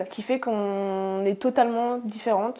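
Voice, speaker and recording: A woman speaks in a dark, mellow tone. Her intonation is monotone and flat. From Normandy, France (rural, near Caen). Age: 20s. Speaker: osteopath, interview guest. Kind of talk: testimony interview. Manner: hesitant, many fillers.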